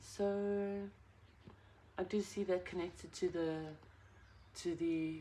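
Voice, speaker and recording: A soft-spoken woman. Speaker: tarot reader. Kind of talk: tarot reading. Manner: halting.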